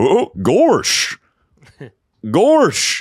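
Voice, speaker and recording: A man's put-on character voice at an extremely high pitch. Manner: goofy, drawling.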